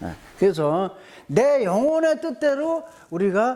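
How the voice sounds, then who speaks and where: A man talks with very wide swings in pitch. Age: 70s. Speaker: lecturer on spiritual health. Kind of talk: lecture. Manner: repetitive, emphatic.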